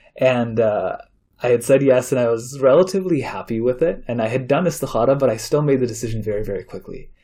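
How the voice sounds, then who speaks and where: A man at a medium pitch rattles along at a very fast pace with ordinary pitch variation. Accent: Chicago. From Chicago area, US Midwest. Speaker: imam and university chaplain. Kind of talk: interview storytelling. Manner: many fillers, halting.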